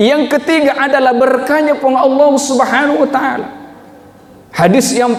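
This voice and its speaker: A man speaks with an extremely high pitch. Noticeable background noise and audible room echo surround the voice. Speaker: preacher. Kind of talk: sermon. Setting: mosque with congregation and sound system.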